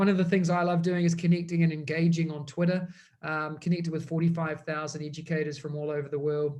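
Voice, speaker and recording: Speaking very fast with a strong New Zealand accent, a man keeps a flat, monotone delivery at a fairly high pitch. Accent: thick New Zealand. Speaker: education technology consultant. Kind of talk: webinar presentation.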